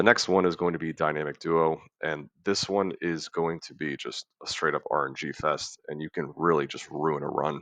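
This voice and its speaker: Over a quiet background, a man with a very deep, low pitch speaks at a moderate pace with fairly even intonation and big swings in loudness, the sound dry and close with no echo. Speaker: gaming guide creator. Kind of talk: tutorial. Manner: monotone.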